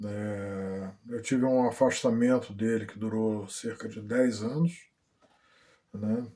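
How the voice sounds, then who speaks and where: This man's voice sits at medium pitch and has a dark, mellow tone. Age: 60s. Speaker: vlogger. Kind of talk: personal testimony. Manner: halting, many fillers.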